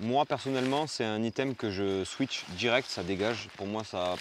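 A man speaks at a fairly slow pace with ordinary pitch variation. The sound is dry with no echo, and there is light background noise. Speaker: outdoor gear reviewer. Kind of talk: product review vlog. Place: tent. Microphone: lapel.

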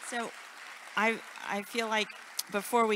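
Noticeable background noise sits behind a woman whose tone is bright and sharp. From Houston, Texas. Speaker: museum director; interviewer. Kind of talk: interview. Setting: stage with audience.

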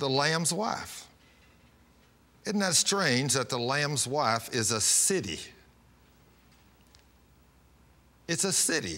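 A man speaks at a very slow pace, leaving long, frequent pauses. His tone is bright and sharp. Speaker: pastor. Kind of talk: sermon. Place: studio. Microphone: lapel.

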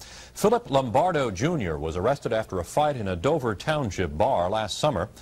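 A man's voice with very wide pitch swings. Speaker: news anchor. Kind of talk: 1980s TV news report, scripted newsreading. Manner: formal, brisk, even-toned. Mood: serious, neutral. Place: studio. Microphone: lapel.

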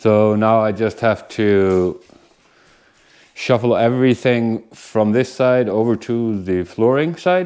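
The pitch of the man's speech varies in an ordinary way. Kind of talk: casual vlog chat. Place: home room. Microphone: lapel.

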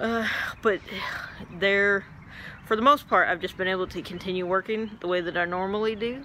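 Light noise sits behind a woman who talks at a moderate speed. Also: dry sound with no echo. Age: 40s. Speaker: flight nurse and cancer patient. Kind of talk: personal vlog. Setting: at work station. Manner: hesitant, many fillers. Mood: calm, matter-of-fact. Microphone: phone near.

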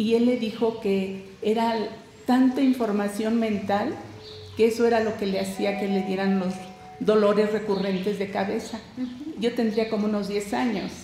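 A woman speaks at a fairly slow pace with fairly even intonation. Light background noise and audible room echo are present. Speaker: guest. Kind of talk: interview answer. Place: studio.

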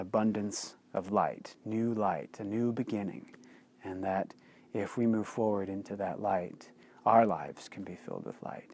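Moderately paced speech comes from a man with a fairly low pitch. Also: dry sound with no echo. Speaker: author and blogger. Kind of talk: personal storytelling to camera. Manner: casual, hesitant with fillers. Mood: earnest, reflective storytelling. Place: open country. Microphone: lapel.

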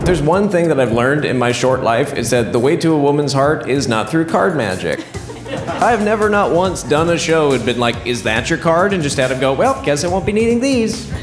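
With clear music in the background, a man with a fairly high pitch speaks at a fairly quick pace, his pitch swinging very widely. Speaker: comedian and magician. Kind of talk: live stand-up comedy magic show. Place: stage. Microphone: handheld.

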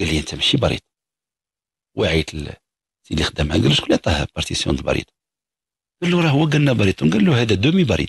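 A man with a fairly low pitch and vocal fry speaks at a very fast pace with very wide pitch swings and long, frequent pauses, in a dry sound with no echo over a quiet background. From Morocco. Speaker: psychologist answering callers; caller. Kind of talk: radio call-in advice. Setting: radio studio. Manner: animated. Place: studio.

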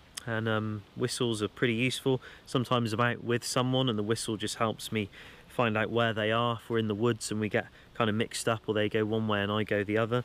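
A man rushes through his words at a very fast pace. His intonation is monotone and flat, and the sound is dry with no echo. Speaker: bushcraft channel host. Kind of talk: gear show-and-tell tutorial. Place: forest.

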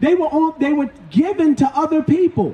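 With ordinary pitch variation and a moderate pace, a man speaks amid audible room echo. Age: 50s. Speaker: street preacher. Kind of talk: street preaching. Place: street.

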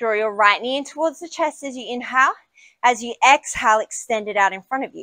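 A woman speaks at a fairly quick pace in a high voice with a bright, sharp tone. The background is quiet. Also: ordinary pitch variation, big swings in loudness, dry sound with no echo. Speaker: yoga instructor. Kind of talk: guided yoga class, cueing poses and breathing. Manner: brisk, clipped, directive cues in a steady, energetic instructor rhythm; warm and encouraging, with a casual, self-deprecating tone in the intro.

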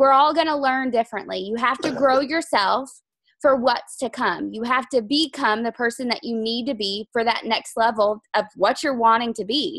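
At a moderate pace, a woman talks with a high pitch and ordinary pitch variation, the sound dry with no echo over a quiet background. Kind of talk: team training talk. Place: home room. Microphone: video call.

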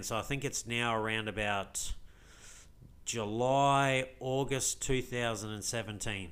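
Here is a man with an Australian accent and a fairly low pitch. His tone comes across bright and sharp. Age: 40s. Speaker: crypto vlogger. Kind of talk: casual vlog monologue. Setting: recorded video to camera with screen share.

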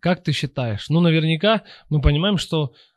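A somewhat breathy man at a moderate pace, ordinary pitch variation, dry sound with no echo and a quiet background. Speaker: podcast host. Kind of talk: casual interview. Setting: studio. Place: studio. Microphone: studio mic.

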